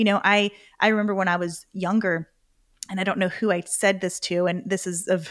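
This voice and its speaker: Over a silent background on a very clean recording, a woman talks at a fairly quick pace with a medium pitch. It is a normal speaking voice, with a dry, close sound and no echo. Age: 40s. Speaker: entrepreneur and author. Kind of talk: interview.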